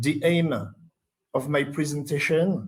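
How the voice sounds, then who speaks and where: A man's fairly even-toned voice with audible room echo. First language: French. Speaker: conference presenter. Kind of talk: conference presentation read aloud. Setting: conference session. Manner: halting, many hesitations.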